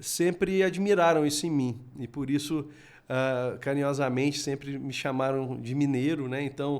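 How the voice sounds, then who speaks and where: The speaker has a Minas Gerais accent and ordinary pitch variation. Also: man. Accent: keeps his Minas Gerais. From Minas Gerais, Brazil (Varginha). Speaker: robotics educator. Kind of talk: podcast interview. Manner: halting, many fillers.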